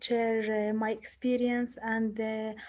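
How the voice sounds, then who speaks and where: A woman with a non-native accent speaks very slowly at a fairly high pitch, her dark, mellow tone delivered in a monotone, flat intonation against a quiet background. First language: Arabic. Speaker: psychologist. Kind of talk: participant sharing. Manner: halting, many fillers.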